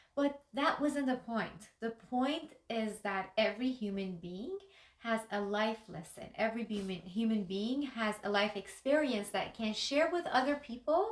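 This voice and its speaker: The speaker has a Persian accent, talks at a moderate pace, and uses ordinary pitch variation. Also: woman. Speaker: life coach and YouTuber. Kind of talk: motivational talk to camera. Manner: unscripted, with some hesitations.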